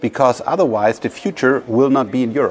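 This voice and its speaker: A man talks at a moderate pace with a medium pitch. Background noise is noticeable. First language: German. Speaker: podcast host and investor. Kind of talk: interview.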